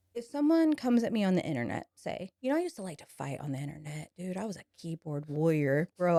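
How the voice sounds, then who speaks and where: A woman's fairly low, dark and mellow voice, very fast with hardly any pauses, very wide pitch swings and big swings in loudness, in a dry, close sound with no echo. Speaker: salon owner. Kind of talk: casual chat.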